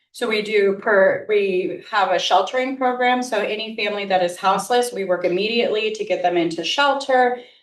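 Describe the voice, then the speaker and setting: Quick and with hardly any pauses, a woman talks at a fairly high pitch with ordinary pitch variation, and audible room echo fills the recording. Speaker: nonprofit executive director. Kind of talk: informal presentation.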